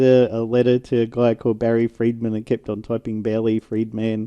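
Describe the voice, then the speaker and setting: Heard dry and close with no echo, a man with an Australian accent speaks at a moderate pace in a dark, mellow tone. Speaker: tech podcast co-host. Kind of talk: casual chat.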